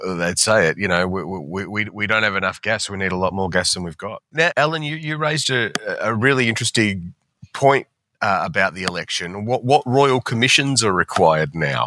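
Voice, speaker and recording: Fairly low male voice with an Australian accent, lively intonation and a fairly quick pace, in a dry, close sound with no echo. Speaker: financial newspaper columnist. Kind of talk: casual chat. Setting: remote recording.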